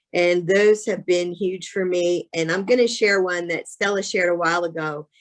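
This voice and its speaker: This woman has a plain, everyday voice with a fairly low pitch. She keeps a moderate pace and fairly even intonation. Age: 60s. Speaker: insurance sales agent. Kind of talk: testimony.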